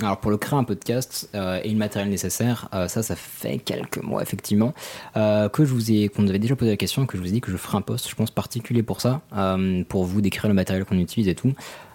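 Noticeable background noise sits behind a man talking at a very fast pace. His pitch is fairly low, with ordinary variation. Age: 20s. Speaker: podcast host. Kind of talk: casual chat. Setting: studio. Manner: halting.

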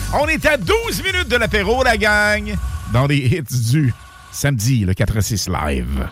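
A man speaks very slowly while music plays behind him. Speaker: radio host. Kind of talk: live radio show. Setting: radio studio. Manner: animated.

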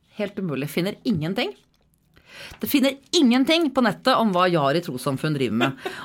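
This woman talks at a fairly quick pace in a medium pitch, with very wide pitch swings and vocal fry. Her tone is animated. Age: 40s. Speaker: podcast co-host. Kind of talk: casual chat. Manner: animated, laughing.

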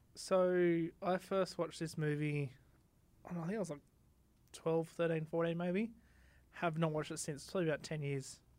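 The speech moves at a moderate pace with long, frequent pauses, on a very clean recording with a silent background. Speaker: podcast co-host. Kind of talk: casual chat. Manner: loud.

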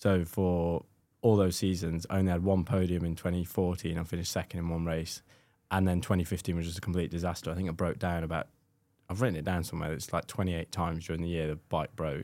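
Very fast delivery in a dark, mellow tone with monotone, flat intonation, on a very clean recording with a silent background. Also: man, very deep, low pitch for a man. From Scotland. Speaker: former motorcycle racer, team manager. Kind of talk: casual chat.

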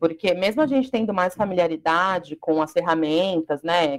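A woman's plain, everyday voice at medium pitch with ordinary pitch variation, in a dry, close sound with no echo. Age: 20s. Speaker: Portuguese teacher. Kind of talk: casual chat.

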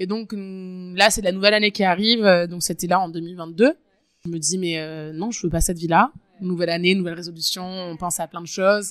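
With a normal speaking voice, a woman talks at a moderate pace, her intonation fairly even but her loudness swinging widely. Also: medium pitch for a woman. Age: 20s. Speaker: waitress. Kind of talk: interview, personal story. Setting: outdoors.

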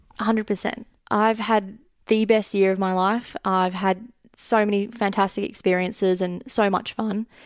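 A woman with an Australian accent speaks at a fairly slow pace. Her intonation is monotone and flat. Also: medium pitch for a woman. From Australia, Sydney. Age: 20s. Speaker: finance podcast listener living abroad. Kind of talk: casual interview.

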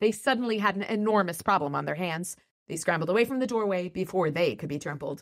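With lively intonation, an unforced reading voice carries over a quiet background.

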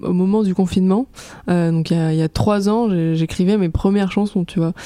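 Noticeable background noise beneath speech of fairly even intonation. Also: woman. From Aix-en-Provence, southern France. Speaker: pop singer. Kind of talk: casual chat. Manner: hesitant, many fillers.

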